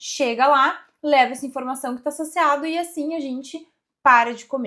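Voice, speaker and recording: Recorded very cleanly against a silent background, a woman with a high pitch speaks at a moderate pace. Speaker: endocrinologist. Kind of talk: educational explainer video. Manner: swallows some words.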